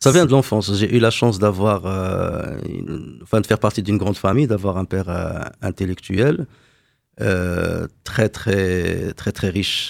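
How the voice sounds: On a very clean recording with a silent background, a man speaks low, with vocal fry, a slightly mellow tone and ordinary pitch variation.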